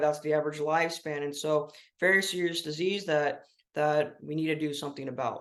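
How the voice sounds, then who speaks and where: Delivery moves along fairly quickly. The intonation is fairly level throughout. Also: man. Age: 20s. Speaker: patient advocate and public speaker. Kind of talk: personal testimony interview. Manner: hesitant, many fillers.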